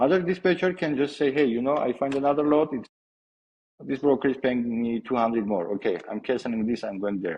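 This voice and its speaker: Talking at a fairly quick pace, a man uses a medium pitch and lively intonation. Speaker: former double broker. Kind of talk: interview. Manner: soft-spoken.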